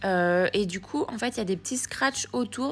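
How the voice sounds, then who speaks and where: A somewhat breathy woman's voice with lively intonation. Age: 20s. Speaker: lifestyle vlogger. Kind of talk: voice-over vlog narration. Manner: hesitant with fillers.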